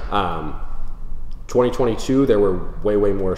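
A man with an American accent is heard with audible room echo and light background noise. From Minnesota, Twin Cities suburbs. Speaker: real estate agent. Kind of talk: market update presentation. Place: home room.

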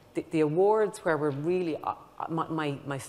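A woman's fairly low voice with lively intonation. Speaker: research funding agency director; panelist. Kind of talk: panel discussion. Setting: conference stage with audience. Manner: repetitive, halting. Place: stage. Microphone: lapel.

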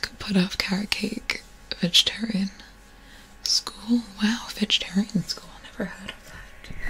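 Whispering and soft-spoken, a woman talks at a fairly slow pace with big swings in loudness and light background noise. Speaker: ASMR streamer. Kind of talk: soft casual live-stream chat. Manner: soft close-mic whisper. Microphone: studio mic.

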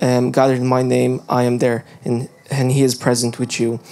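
A man talks at a moderate pace while faint music sounds in the background. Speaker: youth service host. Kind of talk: church service welcome. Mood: warm, earnest. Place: hall. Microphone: handheld.

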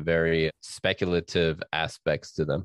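A man with an American accent speaks with a very deep, low pitch. The sound is dry and close with no echo, over a quiet background. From New York. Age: 40s. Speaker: author. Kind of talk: interview.

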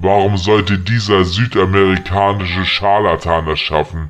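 In a put-on character voice, a man speaks at a very deep, low pitch and a moderate pace. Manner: taunting, mocking.

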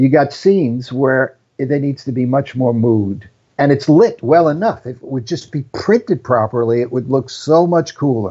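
The man has an ordinary speaking voice at medium pitch, moving at a moderate pace with ordinary pitch variation. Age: 60s. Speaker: film cinematographer. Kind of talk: casual interview conversation. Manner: self-deprecating joker.

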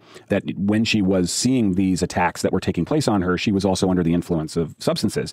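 A man's fairly low-pitched, unremarkable speaking voice at a fairly quick pace, with ordinary pitch variation and a dry, close sound with no echo. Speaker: investigative journalist. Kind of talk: interview, explaining the case. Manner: measured, explanatory, with fillers.

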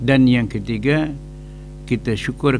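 A man talks at a very slow pace while noticeable background noise runs underneath. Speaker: religious teacher. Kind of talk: religious lecture. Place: hall. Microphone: studio mic.

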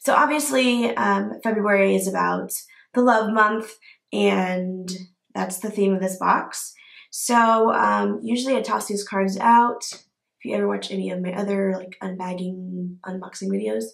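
A woman speaks at a fairly slow pace. Audible room echo surrounds her against a quiet background. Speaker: beauty vlogger. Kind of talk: unboxing video. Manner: casual, filler-heavy. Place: home room. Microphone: phone near.

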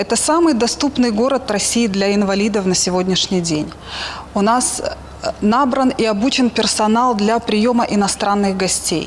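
This is a normal speaking voice at a moderate pace with ordinary pitch variation. Its loudness stays very even over light background noise. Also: woman, fairly high pitch for a woman. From Sochi, southern Russia; Russia. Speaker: local resident asking a question. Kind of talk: question on live broadcast. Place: street. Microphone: handheld.

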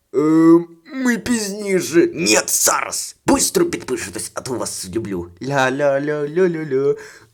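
A man puts on a character voice. It sits fairly high and swings very widely in pitch. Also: moderate pace. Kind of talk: comic overacting. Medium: fan dub. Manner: bossy, impatient.

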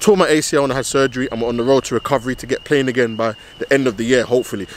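A man speaks at a very fast pace. The sound is dry with no echo, with light background noise. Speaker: footballer vlogger. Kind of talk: casual vlog chat. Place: stadium. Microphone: phone near.

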